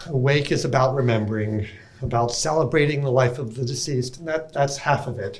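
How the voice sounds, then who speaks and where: A man talks at a fairly quick pace and medium pitch, with ordinary pitch variation, amid noticeable background noise and audible room echo. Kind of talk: conference talk.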